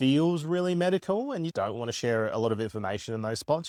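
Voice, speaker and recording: In a strong Australian accent, a man talks at a fairly quick pace with lively intonation, on a very clean recording with a silent background. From Australia, Werribee (Melbourne). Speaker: clinic owner and physiotherapist vlogger. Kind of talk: vlog and clinical consultation. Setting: clinic. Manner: loud.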